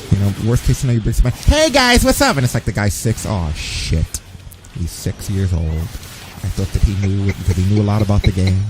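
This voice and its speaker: A man speaks at a fairly quick pace with an American accent. Music plays in the background. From New York. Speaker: streamer. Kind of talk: casual chat. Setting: live stream. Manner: animated.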